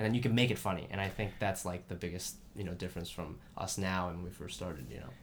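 A very deep, low-pitched man's voice with an American accent and vocal fry, very fast with hardly any pauses and ordinary pitch variation. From US Midwest, Columbus, Ohio suburb. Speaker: stand-up comedian. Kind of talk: casual chat. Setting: home recording.

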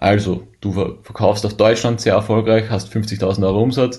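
A man talks at a medium pitch with a somewhat breathy quality. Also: quiet background. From Austria. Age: 20s. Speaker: e-commerce seller and account manager. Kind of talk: conference presentation.

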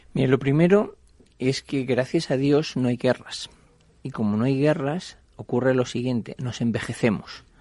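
At a fairly slow pace, a man with medium pitch speaks in a dark, mellow tone. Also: ordinary pitch variation. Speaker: investment fund CEO. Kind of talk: radio interview. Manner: conversational, with frequent fillers.

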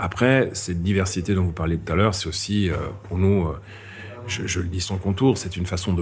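A man with a very deep, low pitch speaks with fairly even intonation, amid noticeable background noise and audible room echo. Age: 50s. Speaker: head of a national image promotion agency. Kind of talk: interview. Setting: café.

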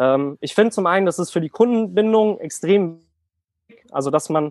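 With ordinary pitch variation, the man talks at a moderate speed. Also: dry, close sound with no echo. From Germany, near Frankfurt. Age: 20s. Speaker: online fitness coach. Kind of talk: casual chat.

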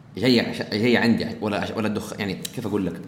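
Speech at a fairly quick pace carries audible room echo. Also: man. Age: 20s. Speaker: podcast host. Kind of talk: casual chat.

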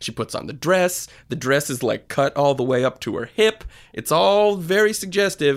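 A man with an American accent speaks in an ordinary speaking voice, fairly high-pitched, at a moderate pace with lively intonation, on a very clean recording with a silent background. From Connecticut, US. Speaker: podcast co-host. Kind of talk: casual chat.

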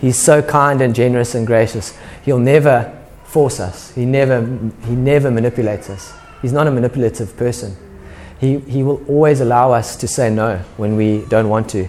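A man speaks at a moderate pace in a medium pitch, his intonation fairly even, with audible room echo and noticeable background noise. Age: 30s. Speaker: pastor. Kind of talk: sermon. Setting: church. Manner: casual, conversational.

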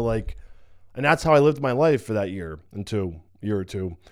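Here is a plain, everyday voice. It moves at a moderate pace with lively intonation. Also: man. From New York / New Jersey area. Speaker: bodybuilder and coach. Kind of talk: personal testimony vlog. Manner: casual, many fillers.

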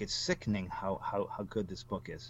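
Against a quiet background, a man uses a normal speaking voice at a medium pitch and a moderate pace. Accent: American. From Michigan, US Midwest. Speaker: crime novelist. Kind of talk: interview.

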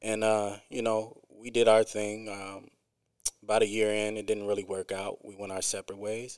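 At a moderate pace, a man with a Midwestern US accent and a fairly low pitch talks in a flat monotone, his loudness swinging widely. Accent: US Midwest. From US Midwest, Quad Cities (East Moline, Illinois). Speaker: rapper. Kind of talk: casual interview chat. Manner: frequent um and uh fillers.

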